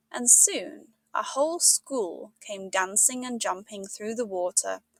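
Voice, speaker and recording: Recorded with a dry, close sound and no echo, a woman speaks at a fairly high pitch and a fairly slow pace, her pitch swinging very widely. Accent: British. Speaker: English teacher. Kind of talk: audiobook read-along of a classic children's novel.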